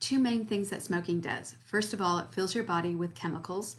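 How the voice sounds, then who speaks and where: Somewhat breathy and fairly low-pitched, a woman speaks with lively intonation. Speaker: quit-smoking coach and hypnotherapist. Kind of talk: tutorial. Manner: casual, conversational with fillers.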